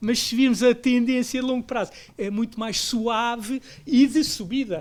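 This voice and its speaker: Fairly even in intonation, a man talks at a moderate pace with an extremely high pitch. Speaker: investment professional. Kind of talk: panel discussion.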